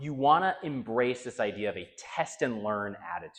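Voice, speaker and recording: A man talks in an animated tone. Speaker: leadership coach. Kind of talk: conference keynote talk. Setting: stage with audience. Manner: fast.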